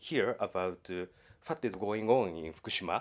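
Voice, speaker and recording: With a Japanese accent, a man speaks using lively intonation. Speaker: sound artist and academic. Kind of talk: interview. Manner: halting.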